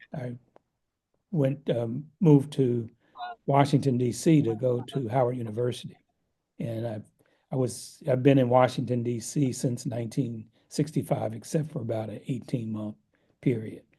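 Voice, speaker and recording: A man with an American accent, medium in pitch, in a dark, mellow, somewhat breathy tone, at a moderate pace with long, frequent pauses and fairly even intonation. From US Northeast, Philadelphia. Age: 70s. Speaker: economist and meditation teacher. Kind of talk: interview conversation.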